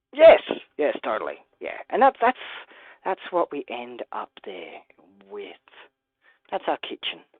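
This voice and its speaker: A woman speaks with an Australian accent at a fairly slow pace. Her loudness swings widely, and she takes long, frequent pauses. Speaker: toy building live streamer. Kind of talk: live stream build commentary. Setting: live stream from home. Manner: casual, hesitant with fillers.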